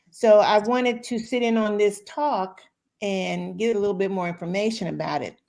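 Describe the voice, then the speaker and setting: This is an ordinary speaking voice from a woman at medium pitch. She talks at a fairly slow pace with ordinary pitch variation. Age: 60s. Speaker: guest. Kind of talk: casual chat.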